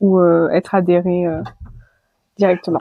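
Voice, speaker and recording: A woman is speaking. Her pace is fairly slow. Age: 20s. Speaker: association president. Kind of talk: interview. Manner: hesitant, many fillers.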